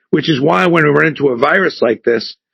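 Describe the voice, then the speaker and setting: At a fairly quick pace, a man with a fairly high pitch and vocal fry speaks with ordinary pitch variation in a dry, close sound with no echo. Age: 60s. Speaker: entrepreneur and company founder. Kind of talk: podcast interview. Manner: animated.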